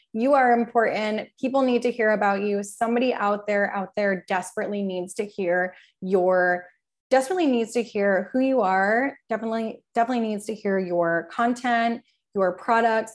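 An ordinary speaking voice from a woman, fairly high in pitch with ordinary pitch variation and a moderate pace, on a very clean recording with a silent background. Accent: American. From New Jersey. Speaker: PR firm owner. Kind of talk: casual chat.

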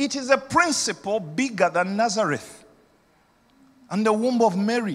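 Here a man speaks in an animated tone at a high pitch. His pace is moderate. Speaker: senior pastor. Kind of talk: sermon. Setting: church. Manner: animated, rousing pulpit delivery, urging the congregation to shout back; repetitive, emphatic, persuasive.

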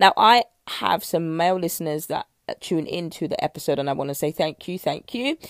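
The speaker has a British accent and lively intonation at a fairly quick pace. The sound is dry and close, with no echo. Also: woman, fairly low pitch for a woman. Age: 30s. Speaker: nutrition coach. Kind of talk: solo podcast talk.

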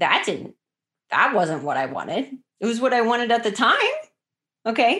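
A woman talks at a fairly high pitch with very wide pitch swings and vocal fry. Her speech has long, frequent pauses. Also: moderate pace. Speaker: podcast host and life coach. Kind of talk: solo motivational podcast monologue. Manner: conversational, direct address.

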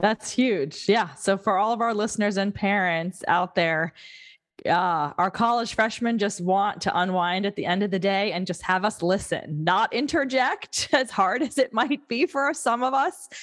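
In an unremarkable speaking voice, a woman talks at a moderate pace with medium pitch and lively intonation. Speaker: podcast host. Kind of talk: interview.

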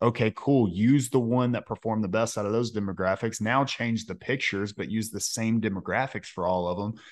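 At a fairly quick pace and with hardly any pauses, a man speaks in a plain, everyday voice. His pitch sits at medium with fairly even intonation. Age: 20s. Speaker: podcast host, detailer, Navy veteran. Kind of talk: casual chat; podcast ad read.

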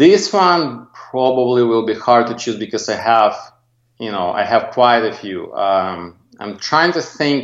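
A man with a non-native accent and lively intonation, at a fairly slow pace. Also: medium pitch for a man. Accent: foreign accent, non-native. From Soviet Union. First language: Russian. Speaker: graphic designer, agency owner. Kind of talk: interview.

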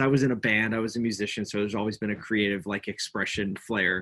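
Speaking at a fairly quick pace, a man talks with a Philadelphia accent. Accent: Philadelphia American. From Philadelphia, US. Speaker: agency owner, entrepreneur. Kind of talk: casual chat.

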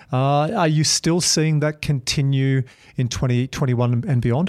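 A man talks with an Australian accent in a medium pitch and ordinary pitch variation. The recording is very clean, with a silent background. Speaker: podcast host. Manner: excitable, talks fast when excited.

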